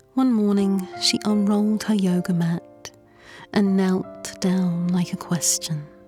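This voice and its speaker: Speaking at a very slow pace over background music, a woman with a medium pitch keeps her intonation fairly even and her loudness very even. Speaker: sleep story narrator, founder of a voice-healing brand. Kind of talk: sleep story reading. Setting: studio, with soft background music.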